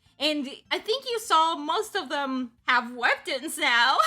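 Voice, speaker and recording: A woman's high, bright, sharp voice is raised and projected, swinging very widely in pitch at a very slow pace. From Mexico. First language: Spanish. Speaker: webcomic artist and streamer. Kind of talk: casual livestream chat. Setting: livestream. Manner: rambling with many fillers.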